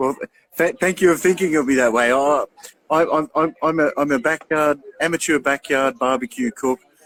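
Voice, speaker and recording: A man's fairly high voice with an Australian accent, at a moderate pace, with very even loudness, ordinary pitch variation and a dry, close sound with no echo. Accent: thick Australian. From regional Australia, Albury. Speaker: barbecue show host. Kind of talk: casual interview chat.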